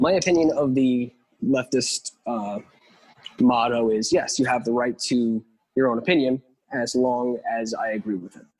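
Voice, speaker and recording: A man with an American accent and a medium pitch talks at a moderate pace with ordinary pitch variation in a normal speaking voice. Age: 20s. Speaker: drummer. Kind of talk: casual chat.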